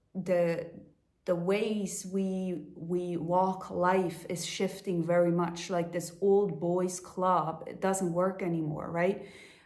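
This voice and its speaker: The speech comes at a very slow pace, with audible room echo. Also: woman. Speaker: life coach. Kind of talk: motivational talk. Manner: halting, with fillers.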